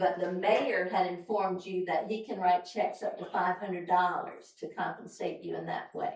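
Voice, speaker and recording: A woman talks at a moderate pace. She hardly pauses at all. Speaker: town council member. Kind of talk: public meeting discussion. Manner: loud.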